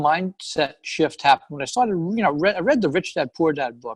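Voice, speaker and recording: Very fast speech in an American accent with a dry, close sound and no echo. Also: man. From New York, Long Island. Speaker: real estate investor. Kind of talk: interview. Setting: call.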